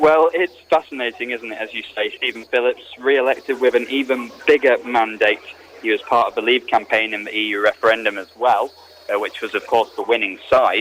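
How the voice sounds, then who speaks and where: With ordinary pitch variation, a man talks fairly quickly while noticeable background noise carries on. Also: medium pitch for a man. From UK. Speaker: radio presenter and journalist. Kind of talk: radio political reporting, live report and discussion.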